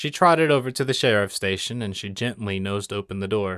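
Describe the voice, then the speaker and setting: A man speaks in a plain, everyday voice at a fairly low pitch and moderate pace, in a dry, close sound with no echo on a very clean recording with a silent background. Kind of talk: audiobook reading of fan fiction. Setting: home studio with acoustic foam.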